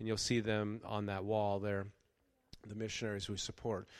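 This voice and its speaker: A man speaks at a moderate pace in a plain, everyday voice with a fairly low pitch. The recording is very clean, with a silent background. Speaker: pastor. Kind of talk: sermon. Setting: church.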